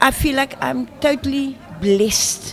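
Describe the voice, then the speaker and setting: A woman's voice over background music. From South Africa, Cape Town. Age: 60s. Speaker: former volleyball player and motivational speaker. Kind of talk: radio interview.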